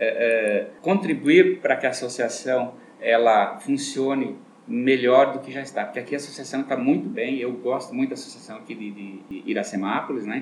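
Talking at a moderate pace, a man's voice shows big swings in loudness. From southern Brazil (Rio Grande do Sul). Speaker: optician shop owner, businessman. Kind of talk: radio interview.

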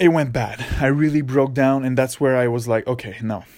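A man speaks at a medium pitch in a Quebec accent. His intonation stays fairly even. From Quebec, near Montreal. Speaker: podcaster. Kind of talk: solo monologue. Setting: parents' basement. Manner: casual with frequent fillers.

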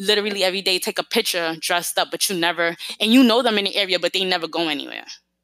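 In a New York accent, a woman talks at a very fast pace, with a bright, sharp tone and lively intonation. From New York City. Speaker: podcast host. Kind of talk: casual solo podcast talk.

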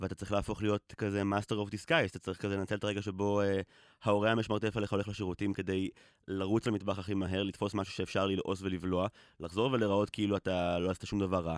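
A man's fairly low, monotone, flat delivery at a very fast pace, dry and close with no echo, on a very clean recording with a silent background. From Israel, grew up on a kibbutz. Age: 30s. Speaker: podcaster. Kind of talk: personal conversational podcast.

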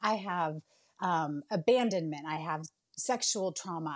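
In a very clean recording with a silent background, a woman with a Californian accent speaks with lively intonation. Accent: Californian American. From Bay Area, California. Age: 40s. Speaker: nurse and home baker. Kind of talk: casual interview chat. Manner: animated.

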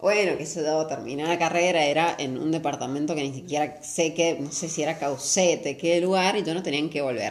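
Fairly quick pace with fairly even intonation. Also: woman, very deep, low pitch for a woman. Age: 20s. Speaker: law student and runner. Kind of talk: casual chat.

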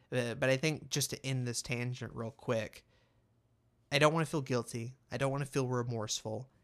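A normal speaking voice from a man of medium pitch, at a moderate pace with fairly even intonation, on a very clean recording with a silent background. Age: 20s. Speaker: podcaster. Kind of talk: solo monologue podcast. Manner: casual, conversational.

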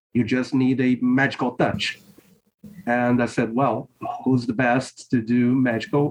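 A man speaks with a Portuguese accent at a fairly slow pace. His intonation is monotone and flat, with very even loudness. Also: medium pitch for a man. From Brazil. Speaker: priest and author. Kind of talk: interview conversation. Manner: halting.

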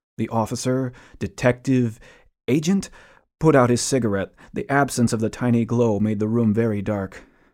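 On a very clean recording with a silent background, a man speaks at a moderate pace. He has an unremarkable speaking voice, medium pitch and ordinary pitch variation. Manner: stern, cold, clipped interrogator; hushed, tense, haunted first-person narration.

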